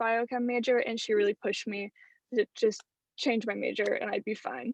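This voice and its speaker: A woman speaks in a fairly high pitch with monotone, flat intonation. The recording is dry and close with no echo, over a quiet background. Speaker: university student. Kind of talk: class introduction.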